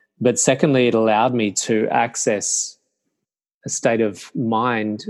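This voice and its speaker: A man with an Australian accent, medium in pitch, monotone and flat in intonation, over a quiet background. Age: 50s. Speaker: meditation teacher. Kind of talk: interview conversation.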